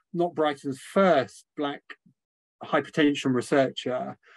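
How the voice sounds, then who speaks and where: A man's ordinary speaking voice, fairly high in pitch with ordinary variation, at a fairly slow pace. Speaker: medical lecturer acting as interviewer. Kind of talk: interview conversation. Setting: online webinar with audience.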